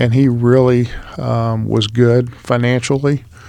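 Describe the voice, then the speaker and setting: Mid-range male voice with an American accent. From Texas, Houston. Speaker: business broker. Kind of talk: interview.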